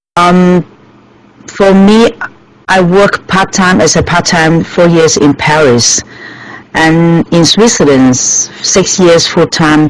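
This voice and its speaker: Speaking very slowly with long, frequent pauses, a woman with a Chinese accent uses a fairly low pitch and ordinary pitch variation. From Hong Kong. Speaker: restaurant owner. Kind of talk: interview. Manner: halting.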